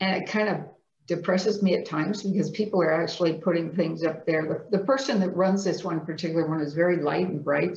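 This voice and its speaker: At a fairly quick clip, a woman talks in an unremarkable speaking voice, her pitch varying in an ordinary way. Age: 60s. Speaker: person living with multiple sclerosis. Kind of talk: interview answer.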